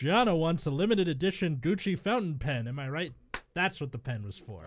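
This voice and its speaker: A man's booming, put-on character voice, fairly high in pitch, with very wide pitch swings at a fairly quick pace. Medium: read story. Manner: hearty, booming.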